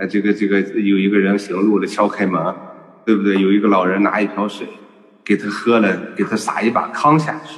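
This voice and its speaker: Over background music, a man talks at a fairly quick pace, his pitch fairly low with ordinary variation. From northern China, Shanxi (Datong, Hunyuan). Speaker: doctor and healthcare businessman. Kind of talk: online panel talk. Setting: video call.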